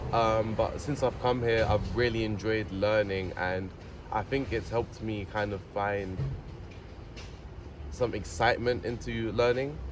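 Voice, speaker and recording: The speaker has a British accent, ordinary pitch variation, and long, frequent pauses. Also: man, fairly low pitch for a man. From England, near London. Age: young. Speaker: tech incubator participant. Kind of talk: interview answer.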